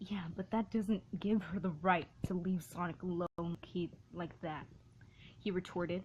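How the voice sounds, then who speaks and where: A woman talks at a fairly slow pace in a fairly low, somewhat breathy voice with monotone, flat intonation. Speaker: fan fiction reader. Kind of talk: reading aloud. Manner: halting, stumbles often.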